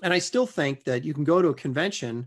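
Against a quiet background, a man's fairly high voice, an ordinary speaking voice, carries lively intonation. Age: 50s. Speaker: comic book artist. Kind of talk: casual interview.

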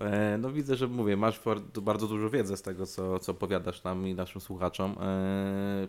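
With an ordinary speaking voice, this man talks at a moderate pace in a fairly low pitch, his intonation fairly even. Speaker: podcast host. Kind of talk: casual chat.

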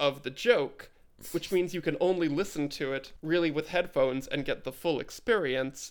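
A man's voice, playful in tone. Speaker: podcast co-host. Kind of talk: casual chat. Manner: playful, riffing on carnival barker bit.

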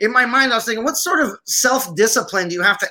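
A man projects a raised voice at an extremely high pitch, its tone bright and sharp. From Syria, Armenian family from Aleppo. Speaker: army veteran and film producer. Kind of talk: casual interview chat.

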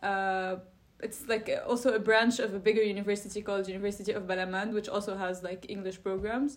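Very fast speech comes from a woman at a medium pitch. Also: fairly even intonation. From Lebanon. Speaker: architecture student. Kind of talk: interview.

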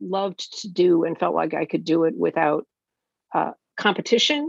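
A woman is speaking here. Her pace is moderate. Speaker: political journalist. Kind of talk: interview. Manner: halting.

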